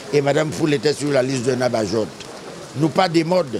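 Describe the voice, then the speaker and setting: A man talks with lively intonation at a moderate pace. Noticeable background noise runs under his voice. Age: 70s. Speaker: community figure honored at inauguration. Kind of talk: public speech. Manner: emphatic, repetitive.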